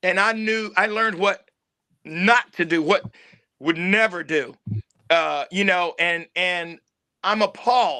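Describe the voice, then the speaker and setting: This man's high, raised voice projects with a bright, sharp tone, ordinary pitch variation and a fairly slow pace broken by long, frequent pauses. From Tennessee, Knoxville. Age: 60s. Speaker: actor and film producer. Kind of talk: interview.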